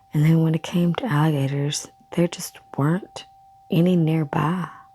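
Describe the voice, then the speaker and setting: A soft-spoken woman with a very deep, low pitch and fairly even intonation amid noticeable background noise. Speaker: ASMR creator. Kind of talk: ASMR story reading. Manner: soft-spoken, quiet.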